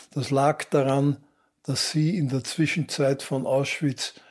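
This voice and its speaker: A man speaks in a flat, monotone way at a fairly high pitch. The recording is very clean, with a silent background. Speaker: journalist. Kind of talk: interview.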